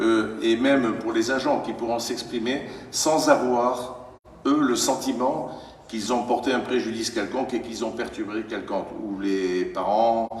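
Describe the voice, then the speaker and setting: A man at medium pitch speaks at a fairly slow pace with fairly even intonation, amid noticeable background noise and audible room echo. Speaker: mayor chairing council meeting. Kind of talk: council meeting debate. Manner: loud; hesitant, many fillers.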